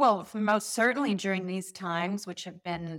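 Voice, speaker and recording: A woman at a medium pitch, moderate pace and ordinary pitch variation. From South Africa, moved to San Diego in 1993. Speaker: entrepreneur and show producer. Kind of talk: casual chat. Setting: video call. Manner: upbeat.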